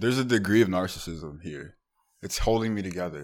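Delivery comes fairly quickly. Intonation rises and falls in a lively way. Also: man. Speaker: podcast host. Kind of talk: casual chat.

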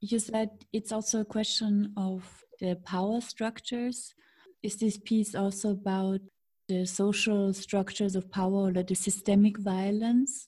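A woman's medium-pitched, somewhat breathy voice in a dark, mellow tone, monotone and flat, at a fairly slow pace. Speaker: podcast host. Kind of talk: interview conversation.

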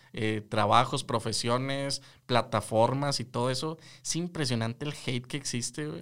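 Over a silent background in a very clean recording, a man with an ordinary speaking voice talks at a medium pitch and moderate pace with fairly even intonation. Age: 20s. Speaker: podcast co-host, psychologist. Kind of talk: casual chat.

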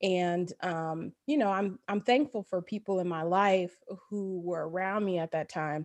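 With a Midwestern US accent, a woman speaks at a medium pitch and a fairly slow pace, using ordinary pitch variation. The sound is dry and close, with no echo. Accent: US Midwest. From Dayton, Ohio. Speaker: family doctor. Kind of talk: casual interview.

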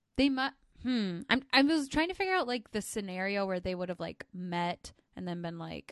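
Delivered in a normal speaking voice, the speech has lively intonation and a moderate pace, with a dry, close sound and no echo. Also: woman. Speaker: podcast co-host. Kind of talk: casual banter between co-hosts. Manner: laughs often, playful.

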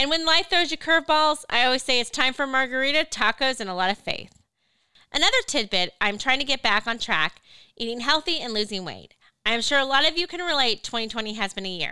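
A woman's raised, projected voice in an American accent, high-pitched with a bright, sharp tone, lively intonation and a fairly quick pace, on a very clean recording with a silent background. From Missouri, Lake of the Ozarks. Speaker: podcast co-host, media company founder. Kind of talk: scripted self-introduction.

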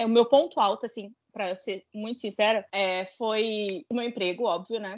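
At a moderate pace, a woman speaks in a plain, everyday voice. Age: 20s. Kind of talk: casual chat.

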